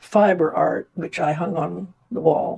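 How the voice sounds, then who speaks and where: A woman with a fairly low pitch. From India. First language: Indian language (Hindi). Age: 90s. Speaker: retired nurse and artist. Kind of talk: personal testimony interview. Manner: halting with fillers.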